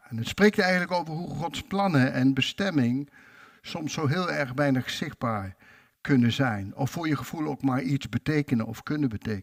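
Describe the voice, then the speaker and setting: A man's fairly high voice, an ordinary speaking voice, with lively intonation at a moderate pace in a dry, close recording with no echo. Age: 60s. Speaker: preacher. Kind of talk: sermon.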